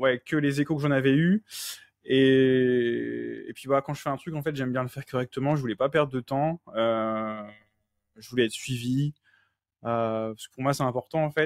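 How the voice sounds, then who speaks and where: At a moderate pace, a man speaks at a medium pitch with fairly even intonation, in a very clean recording with a silent background and a dry, close sound with no echo. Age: 30s. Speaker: coaching client, nursing assistant. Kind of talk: interview testimony. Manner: hesitant, many fillers.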